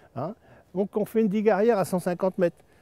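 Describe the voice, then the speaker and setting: A man's dark, mellow tone, with a dry, close sound with no echo and a very clean recording against a silent background. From northern France, Somme coast. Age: 60s. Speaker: local resident. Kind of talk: on-site interview.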